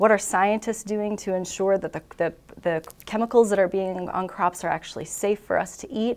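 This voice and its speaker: A woman with an American accent speaks at a medium pitch, in an unremarkable speaking voice. Her pace is moderate and her intonation fairly even. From southeast Minnesota. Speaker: food industry communications director. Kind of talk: casual interview.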